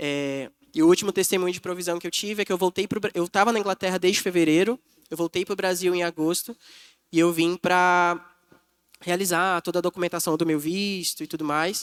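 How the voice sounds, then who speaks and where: Delivery comes at a fairly quick pace with fairly even intonation. The recording is very clean and dry, close with no echo and a silent background. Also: man, high pitch for a man. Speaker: missionary preacher. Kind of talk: sermon. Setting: church.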